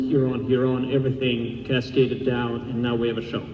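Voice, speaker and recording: A man's medium-pitched voice amid noticeable background noise and audible room echo. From Russia. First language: Russian. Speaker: blacksmith and armor maker. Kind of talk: convention panel talk. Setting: stage with audience.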